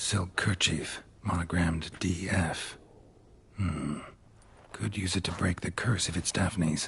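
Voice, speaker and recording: A man speaks in a put-on character voice, pitched very deep and low. His pace is fairly slow, with long, frequent pauses. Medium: video game. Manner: terse, low, deadpan.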